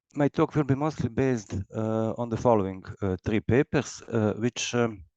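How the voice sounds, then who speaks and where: A dark, mellow tone with ordinary pitch variation in a dry, close sound with no echo. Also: man, medium pitch for a man, quiet background. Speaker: logician, researcher. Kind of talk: lecture. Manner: halting, many fillers; slow.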